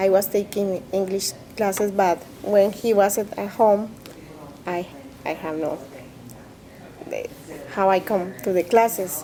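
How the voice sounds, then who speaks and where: A woman with a Spanish accent, medium pitch, fairly even intonation, a fairly slow pace, and long, frequent pauses amid noticeable background noise. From Colombia, Bogota. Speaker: immigrant interviewee, interpreter. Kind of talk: interview testimony. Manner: halting, with hesitations and self-corrections.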